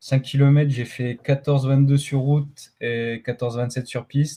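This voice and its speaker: A man's medium-pitched, somewhat breathy voice with a dark, mellow tone, flat monotone intonation and a fairly slow pace, on a very clean recording with a silent background. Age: 20s. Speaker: middle-distance runner. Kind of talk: podcast interview. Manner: halting, many fillers.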